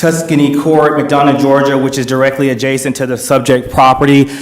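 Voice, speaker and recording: Over noticeable background noise and audible room echo, a man talks at a fairly quick pace with a fairly high pitch and monotone, flat intonation. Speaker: attorney speaking as resident in public comment. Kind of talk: public comment at board meeting. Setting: public hearing with audience. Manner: fast; formal.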